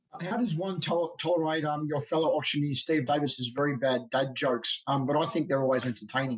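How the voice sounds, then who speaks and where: A man's normal speaking voice, fairly high in pitch with ordinary variation, very even in loudness, at a fairly quick pace with hardly any pauses. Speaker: podcast host. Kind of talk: interview question.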